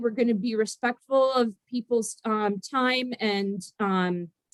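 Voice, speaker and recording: Speaking at a very slow pace, a woman uses a fairly high pitch, and the sound is dry and close, with no echo. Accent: Minnesotan. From Minnesota. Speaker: reunion moderator, alumni volunteer. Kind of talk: video call moderation. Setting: video call.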